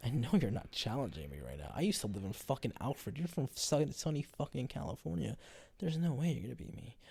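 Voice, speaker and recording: Talking very fast, a man with a medium pitch and a dark, mellow tone uses vocal fry, with very wide pitch swings and big jumps in loudness. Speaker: podcast host. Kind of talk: casual chat. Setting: at home in recliner. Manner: relaxed.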